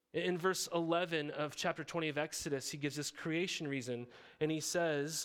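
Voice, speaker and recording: A man's plain, everyday voice with an American accent, fairly high in pitch and fairly even in intonation, in a very clean recording with a silent background. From Montana. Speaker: pastor. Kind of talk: sermon. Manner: casual, conversational.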